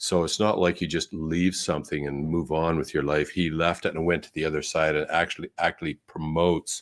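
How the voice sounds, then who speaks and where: A man with a Canadian accent talks at a moderate pace in a very deep, low pitch. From Canada. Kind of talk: interview conversation. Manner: halting, many fillers.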